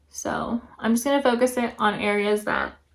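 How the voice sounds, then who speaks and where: A woman speaks quietly. Her pitch is high. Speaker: beauty vlogger. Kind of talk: makeup tutorial review. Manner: casual.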